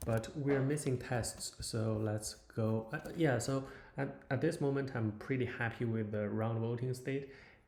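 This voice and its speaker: Speaking with a non-native accent, a man talks at a fairly slow pace, medium pitch, and fairly even intonation. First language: not English. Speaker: software developer. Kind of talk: live coding tutorial. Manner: halting, many fillers.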